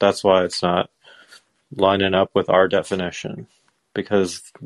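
Against a quiet background, a man speaks at a moderate pace in a fairly low, monotone, flat voice, with a dry, close sound and no echo. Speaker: caller. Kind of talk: casual chat.

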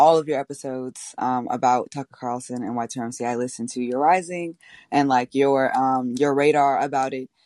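Against a quiet background, a woman's very deep, low voice comes through dry and close with no echo at a moderate pace. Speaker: political organizer. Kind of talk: casual chat. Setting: video call.

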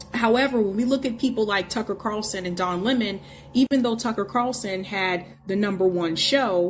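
A woman speaks at a moderate pace and medium pitch with ordinary pitch variation, with noticeable background noise behind her. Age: 30s. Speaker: podcast host. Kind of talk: casual chat.

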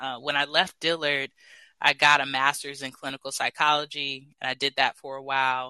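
Against a quiet background, a man with an American accent talks at a moderate pace in a bright, sharp tone, the sound dry and close with no echo. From US West Coast, Los Angeles. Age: 30s. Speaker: public speaking coach. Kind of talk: interview. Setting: live audio app.

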